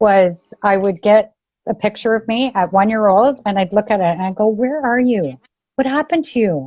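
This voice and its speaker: A woman's ordinary speaking voice with a Canadian accent, fairly high in pitch, with lively intonation at a moderate pace. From Ontario, Canada. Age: 50s. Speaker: abuse survivor sharing her story. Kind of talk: podcast interview, personal testimony.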